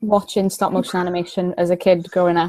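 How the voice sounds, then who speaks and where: A woman with a South Wales accent speaks at a medium pitch in a dark, mellow tone. Her pace is fairly quick. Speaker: miniature prop maker. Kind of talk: podcast interview.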